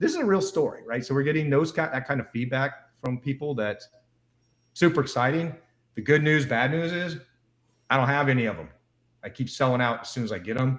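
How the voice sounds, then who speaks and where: Somewhat breathy, a man talks at a fairly quick pace with ordinary pitch variation and long, frequent pauses. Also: fairly high pitch for a man. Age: 60s. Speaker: wellness device entrepreneur. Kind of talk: interview on a live show. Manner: animated.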